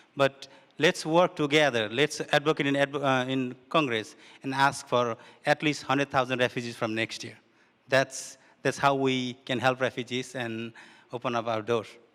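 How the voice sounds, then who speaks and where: On a very clean recording with a silent background and a dry, close sound with no echo, a man with a non-native accent speaks at a medium pitch and a moderate pace with fairly even intonation. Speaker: refugee advocate. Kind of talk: panel discussion. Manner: halting.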